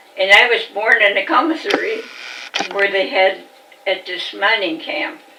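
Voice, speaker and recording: A woman with an American accent speaks at a moderate pace in a fairly high pitch. Her intonation is lively, and there is noticeable background noise. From Virginia, Augusta County (US South). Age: 90s. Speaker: elderly interviewee recalling her life. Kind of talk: oral history interview. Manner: halting.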